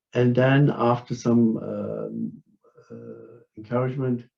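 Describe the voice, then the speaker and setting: A man with a German accent speaks at a medium pitch in a dark, mellow tone. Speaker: philosopher and martial artist. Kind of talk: academic conference talk. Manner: halting, many fillers.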